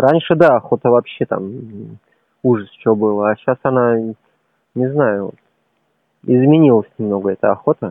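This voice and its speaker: A man's medium-pitched voice with ordinary pitch variation at a moderate pace. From Uzbekistan. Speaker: former athlete. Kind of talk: casual chat.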